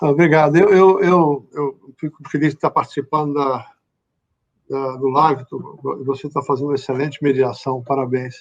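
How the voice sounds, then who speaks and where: Here a man speaks at a fairly high pitch and a moderate pace. His intonation is fairly even. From Bahia, Brazil. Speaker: company chief executive. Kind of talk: live interview. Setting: LinkedIn live stream.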